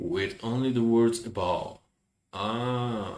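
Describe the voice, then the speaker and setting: Here a man talks at a very slow pace. He has a medium pitch and a Turkish accent. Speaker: language teacher. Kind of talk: tutorial. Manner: halting.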